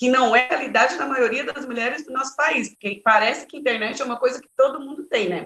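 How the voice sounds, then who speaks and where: The speaker is a woman. Her pitch sits high. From Brazil, Bahia (Vitória da Conquista). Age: 40s. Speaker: politician and women's rights activist. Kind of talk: interview.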